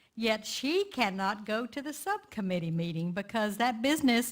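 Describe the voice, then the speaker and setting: A woman's fairly high pitch with ordinary variation, in a Texan accent. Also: very clean recording, silent background. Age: 70s. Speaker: community activist. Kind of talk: lay sermon talk.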